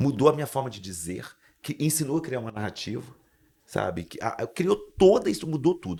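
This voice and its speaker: Intonation is lively in this clip. A man delivers it at a fairly quick pace. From Brazil, Espírito Santo interior. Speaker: motivational speaker and mindset coach. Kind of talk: podcast interview. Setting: studio. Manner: animated.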